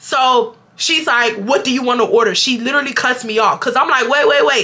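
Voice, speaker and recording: A woman with a high pitch uses a raised, projected voice at a fairly quick pace, sounding animated. Her loudness stays very even and her pitch varies in an ordinary way, with noticeable background noise behind her. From Houston, Texas. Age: 20s. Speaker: YouTuber, storyteller. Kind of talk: storytime talk to camera. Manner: casual, animated.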